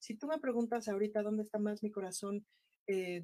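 Her tone is dark and mellow. This woman speaks at medium pitch with fairly even intonation. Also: dry, close sound with no echo. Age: 40s. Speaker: actress and political candidate. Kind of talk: interview. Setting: studio.

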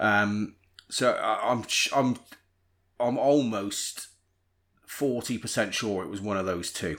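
With a Bristol accent, a man speaks in a fairly low pitch with ordinary pitch variation. His delivery is very slow, broken by long, frequent pauses. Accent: Bristol, noticeable. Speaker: podcast host. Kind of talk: casual banter.

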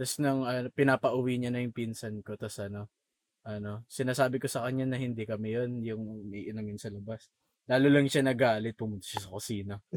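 A man with a plain, everyday voice at medium pitch, fairly even intonation and big swings in loudness, in a dry, close sound with no echo. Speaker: podcast co-host. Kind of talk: casual chat.

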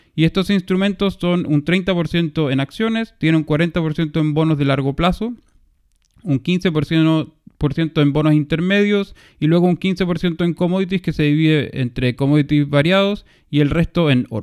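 A man speaks at a fairly slow pace with a fairly high pitch. He has an ordinary speaking voice. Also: ordinary pitch variation. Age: 30s. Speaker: finance podcast co-host. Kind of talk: casual chat.

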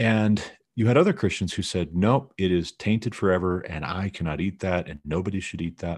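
A man with an American accent speaks at a fairly quick pace in a very deep, low pitch. His pitch varies in an ordinary way, and the recording is very clean with a silent background. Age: 30s. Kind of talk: casual chat.

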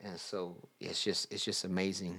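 A man speaks at a moderate pace. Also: very clean recording, silent background. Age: 30s. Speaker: podcast co-host, breakdancer. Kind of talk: casual chat.

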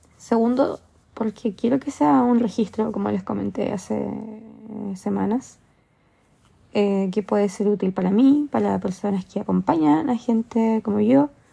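Somewhat breathy and dark, mellow in tone, a woman with a medium pitch speaks at a fairly slow pace with lively intonation and long, frequent pauses. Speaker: podcaster. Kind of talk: personal monologue.

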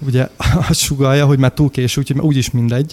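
A man talks in a monotone, flat intonation, the sound dry and close with no echo. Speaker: podcast co-host. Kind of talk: casual chat. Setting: remote, on a call from Toronto. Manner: hesitant, many fillers.

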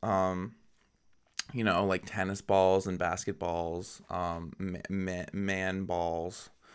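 This is a very clean recording with a silent background. The man's voice sits at a very deep, low pitch. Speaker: podcast host. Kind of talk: casual solo monologue. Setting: recording at home, cat in background. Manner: casual, chatty, filler words.

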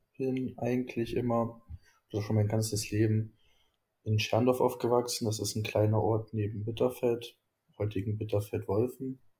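Speaking at a moderate pace with long, frequent pauses, a man uses a medium-pitched, somewhat breathy voice with a dark, mellow tone and monotone, flat intonation. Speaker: student, youth activist. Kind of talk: interview.

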